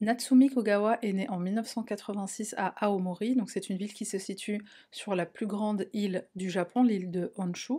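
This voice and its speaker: A woman with a dark, mellow, somewhat breathy tone speaks at a moderate pace. Her intonation is fairly even, and the background is quiet. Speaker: true crime youtuber. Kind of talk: true crime narration. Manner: casual, with fillers. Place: home room.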